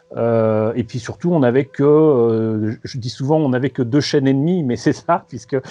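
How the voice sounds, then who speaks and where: A man with a medium pitch keeps a moderate pace, his pitch varying in an ordinary way. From France, Paris. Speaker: magazine co-founder. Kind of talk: interview. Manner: hesitant, many fillers and repetitions.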